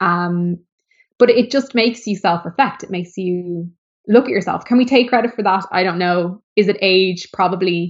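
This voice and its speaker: A woman with an Irish accent, medium pitch and ordinary pitch variation, at a moderate pace. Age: 30s. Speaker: former model and DJ turned author. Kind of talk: interview conversation. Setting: video call.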